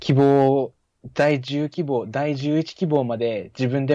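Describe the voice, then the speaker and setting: In a quiet background, a man speaks at a medium pitch with ordinary pitch variation. His tone is dark and mellow. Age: 20s. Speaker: technical college student and app developer. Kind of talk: casual chat.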